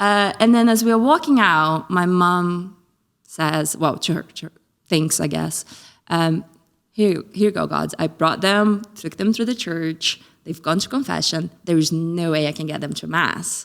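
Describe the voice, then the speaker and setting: Speaking at a fairly slow pace, a woman with a fairly low pitch uses ordinary pitch variation and an animated tone. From Brazil. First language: Portuguese. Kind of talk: podcast interview, personal testimony. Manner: animated storytelling.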